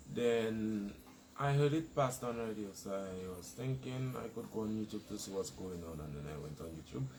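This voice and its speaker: A man speaks at a moderate pace in a fairly low pitch, his voice swinging very widely up and down. There is audible echo from the room. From Dominica. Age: young (18). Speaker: protester interviewee. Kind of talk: interview. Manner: soft-spoken.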